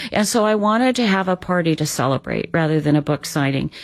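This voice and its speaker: On a very clean recording, a woman's voice stands against a silent background. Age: 60s. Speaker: author. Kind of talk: radio interview.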